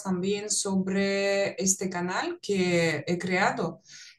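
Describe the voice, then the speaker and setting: A woman speaks at a medium pitch with a Russian accent. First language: Russian (speaking Spanish). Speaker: psychologist and language teacher. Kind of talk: conversational podcast.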